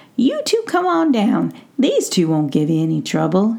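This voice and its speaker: A woman puts on a gruff character voice at medium pitch. She keeps a moderate pace. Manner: gruff but forgiving, folksy.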